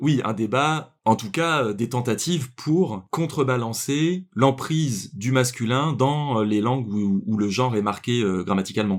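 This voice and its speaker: Lively intonation marks a man's medium-pitched voice, fairly slow yet with hardly any pauses. The recording is very clean, with a silent background. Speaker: podcast co-host. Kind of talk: casual podcast discussion. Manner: hesitant, many fillers.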